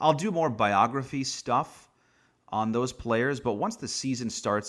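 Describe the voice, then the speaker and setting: An unremarkable speaking voice from a man with an American accent, ordinary pitch variation and a moderate pace, on a very clean recording with a silent background. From US Northeast, Long Island, New York. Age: 30s. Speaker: baseball play-by-play broadcaster. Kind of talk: casual interview.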